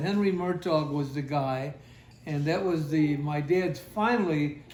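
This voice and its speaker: This man's voice sits fairly high in pitch, with ordinary pitch variation and a fairly slow pace. Audible room echo surrounds him. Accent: American. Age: 80s. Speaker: elderly father sharing family memories. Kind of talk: family reminiscence interview. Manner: halting.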